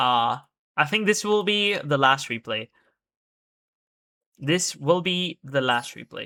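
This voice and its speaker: In a very clean recording with a silent background, the speech moves at a very slow pace with long, frequent pauses. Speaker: game streamer. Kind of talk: casual live stream chat. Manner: low energy.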